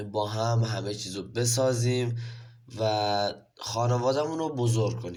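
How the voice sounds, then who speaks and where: A man talks at a fairly slow pace, and audible room echo is present. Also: medium pitch for a man. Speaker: gaming youtuber. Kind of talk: gameplay commentary. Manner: animated.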